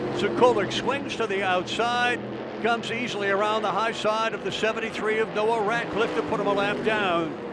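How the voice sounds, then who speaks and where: Noticeable background noise sits behind a man's high voice. His intonation is monotone and flat. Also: moderate pace. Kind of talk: live race commentary. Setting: race track PA/broadcast.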